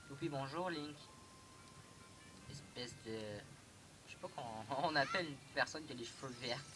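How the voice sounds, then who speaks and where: A man's voice, with ordinary pitch variation, is heard over music in the background. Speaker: gaming youtuber. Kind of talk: let's play commentary. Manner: fast; halting.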